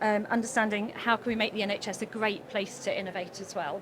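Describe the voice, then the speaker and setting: Over noticeable background noise, a soft-spoken woman with a fairly high pitch speaks at a very fast pace. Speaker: health service innovation director. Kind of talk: conference presentation. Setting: conference stage with audience. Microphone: too far from the mic.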